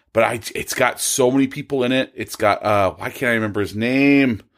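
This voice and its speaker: Man with an American accent and an unremarkable speaking voice at a medium pitch, with fairly even intonation, a moderate pace, and a very clean recording with a silent background. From California. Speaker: podcast guest. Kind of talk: casual chat.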